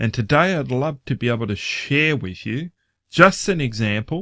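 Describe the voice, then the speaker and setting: At a moderate pace, a man with an Australian accent speaks in a very clean recording with a silent background. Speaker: online finance vlogger. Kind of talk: casual vlog commentary. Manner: halting, many filler words.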